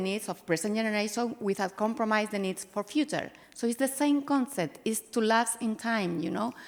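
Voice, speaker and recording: A woman with a Spanish accent speaks at a moderate pace over noticeable background noise. Her pitch is fairly high, with ordinary variation. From Spain. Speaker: winery sustainability executive. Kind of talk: panel discussion.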